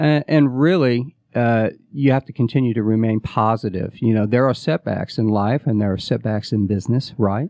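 A plain, everyday voice from a man with an American accent, medium in pitch with ordinary pitch variation. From US Midwest. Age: 40s. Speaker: startup COO and former touring musician. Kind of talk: interview. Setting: radio studio.

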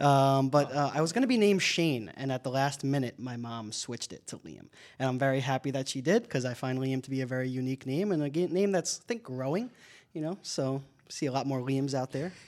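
In a very clean recording with a silent background, a man speaks at a very fast pace. His pitch is medium, with ordinary pitch variation. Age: 20s. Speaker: hockey play-by-play broadcaster. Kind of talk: casual interview. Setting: radio studio.

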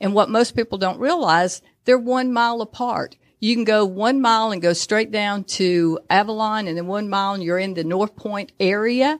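Against a quiet background, a woman with a plain, everyday voice and an American accent talks at a moderate pace with ordinary pitch variation. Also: fairly high pitch for a woman. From Georgia, US (Dalton). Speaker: tourism bureau executive. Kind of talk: radio interview. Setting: studio.

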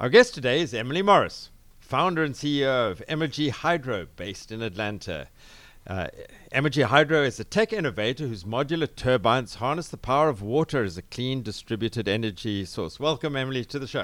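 A man with a South African accent speaks at a fairly quick pace and medium pitch. His intonation is lively, on a very clean recording with a silent background. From South Africa, Cape Town. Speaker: business radio host. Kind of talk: interview. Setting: studio.

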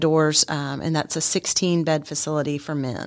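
A woman with an American accent speaks in a normal speaking voice at a fairly quick pace, her pitch fairly low. Her intonation is fairly even, and the very clean recording has a silent background. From Texas and Germany (army family). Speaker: homeless shelter director. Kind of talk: radio interview. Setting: studio.

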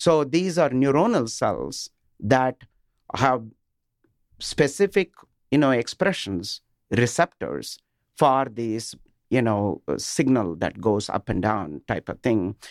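At a very slow pace with long, frequent pauses, a man at medium pitch speaks in an Indian accent, his voice making very wide pitch swings. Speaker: business executive guest. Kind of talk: radio interview. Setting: studio.

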